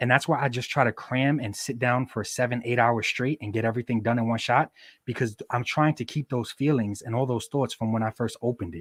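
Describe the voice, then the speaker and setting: In a very clean recording with a silent background and a dry, close sound with no echo, a man with a plain, everyday voice speaks at a fairly quick pace, with fairly even intonation and hardly any pauses. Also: medium pitch for a man. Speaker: action figure photographer and customizer. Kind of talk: casual interview chat.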